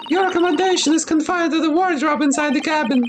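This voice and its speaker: Squeaky and high-pitched, a put-on character voice races along at a very fast pace with fairly even intonation over clear background noise. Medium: fan dub. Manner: polite, formal.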